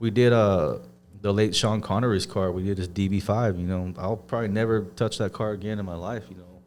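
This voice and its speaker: A man with an American accent talks in a plain, everyday voice, fairly low in pitch, at a fairly quick pace with fairly even intonation. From southern California. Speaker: auto detailing business owner. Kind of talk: podcast interview. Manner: casual, laid-back.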